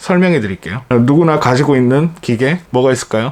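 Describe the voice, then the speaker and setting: Lively intonation carries a man's speech in a Daegu accent. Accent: Daegu dialect (Gyeongsang), noticeable. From South Korea, Daegu. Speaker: photographer, YouTuber. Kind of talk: tutorial. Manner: casual, hesitant fillers.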